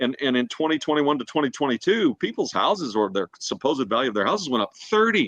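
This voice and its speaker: A man with a fairly high voice and vocal fry swings his pitch very widely, recorded dry and close with no echo. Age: 60s. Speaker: sports broadcaster and real estate agent. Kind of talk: casual interview chat.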